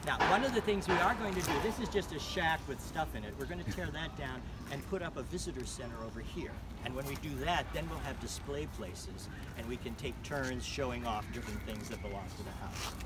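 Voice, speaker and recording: Fairly quick speech over loud background noise, the sound dry with no echo. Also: man. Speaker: tour guide. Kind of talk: guided tour explanation. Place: garden. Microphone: phone near.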